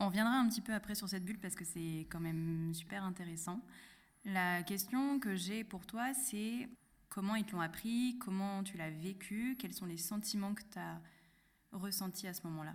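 A woman with a medium-pitched, somewhat breathy voice speaks at a fairly slow pace. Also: ordinary pitch variation. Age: 20s. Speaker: podcast host. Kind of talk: interview.

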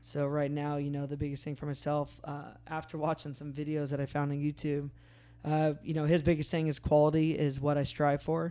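The voice has a dark, mellow tone and monotone, flat intonation at a fairly quick pace. The recording is very clean, with a silent background. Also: man, fairly high pitch for a man. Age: 30s. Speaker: podcast host and off-road racer. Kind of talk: casual chat. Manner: hesitant, frequent filler words.

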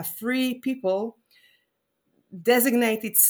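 A woman speaks with an Israeli accent. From Israel, Jerusalem. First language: Hebrew. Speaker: rabbi and professor of liturgy. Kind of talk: interview conversation. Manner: halting, many fillers.

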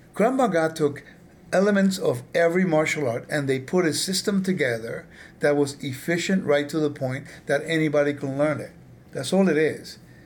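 A man with a normal speaking voice and an American accent, fairly high in pitch, with ordinary pitch variation, at a moderate pace. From California. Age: 50s. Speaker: podcast host. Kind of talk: interview.

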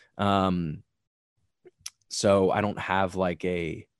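On a very clean recording with a silent background, a man speaks with an American accent. His pitch is very deep and low, his intonation fairly even. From Long Island, New York. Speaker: powerlifting coach. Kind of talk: interview. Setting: podcast recording.

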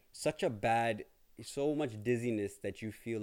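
Heard on a very clean recording with a silent background, a man speaks with a Toronto accent. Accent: Canadian English (Toronto). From Canada, Toronto area (Brampton). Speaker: podcaster sharing illness journey. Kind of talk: personal monologue. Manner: hesitant, many fillers.

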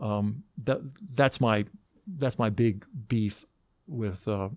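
With an American accent, a man at a medium pitch speaks with lively intonation. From US South, Athens, Georgia. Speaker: investigative TV reporter. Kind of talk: interview. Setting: studio. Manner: hesitant, many fillers.

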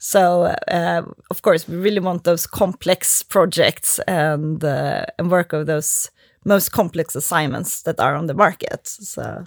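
With a Swedish accent and vocal fry, a woman speaks in a fairly low pitch on a very clean, dry, close recording with no echo and a silent background. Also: fairly slow pace. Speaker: lawyer. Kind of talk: casual chat.

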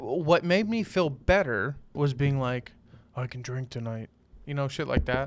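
A man with a fairly high pitch and an unremarkable speaking voice talks at a fairly slow pace, with lively intonation and big swings in loudness. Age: 20s. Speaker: podcast co-host. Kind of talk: casual chat. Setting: home studio with camera.

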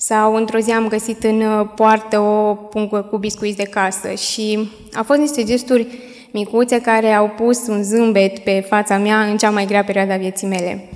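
A woman speaks at a fairly high pitch in a flat monotone. Noticeable background noise is audible. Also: moderate pace. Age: 20s. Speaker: young widow giving church testimony. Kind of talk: testimony. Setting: church. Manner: halting.

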